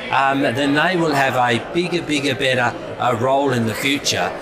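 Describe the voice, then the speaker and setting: Moderate pace, audible room echo and noticeable background noise. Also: man. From England. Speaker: politician. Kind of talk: interview. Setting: community event. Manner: halting, many fillers.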